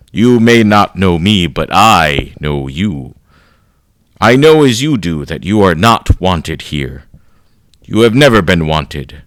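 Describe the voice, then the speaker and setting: A man's put-on character voice, raspy and very deep and low, with very wide pitch swings at a fairly slow pace. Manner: menacing, taunting.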